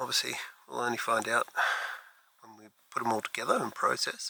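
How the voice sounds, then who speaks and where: A soft-spoken man at a fairly quick pace, in a dry, close sound with no echo. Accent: Australian. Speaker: landscape astrophotographer vlogger. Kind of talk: vlog narration while shooting. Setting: outdoors at night by a lake.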